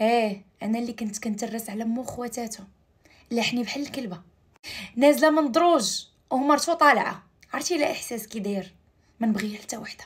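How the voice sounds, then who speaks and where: Loudness swings widely in this voice, paired with ordinary pitch variation. The pace is moderate and the background quiet. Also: woman, fairly high pitch for a woman. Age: 20s. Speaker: storyteller. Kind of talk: narrated personal story. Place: home room. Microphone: phone near.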